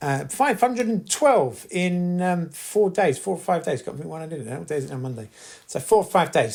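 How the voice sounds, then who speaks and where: A man speaks with lively intonation at a moderate pace. His voice is somewhat breathy. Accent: British. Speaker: podcast host, housing resident campaigner. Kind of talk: casual monologue podcast. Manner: hesitant, many fillers and repeats.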